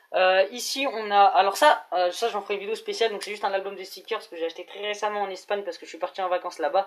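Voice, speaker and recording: Hardly pausing at all, the speaker rushes along at a very fast pace. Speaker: YouTuber, wrestling fan. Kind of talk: collection show-and-tell vlog. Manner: hesitant, many filler euh.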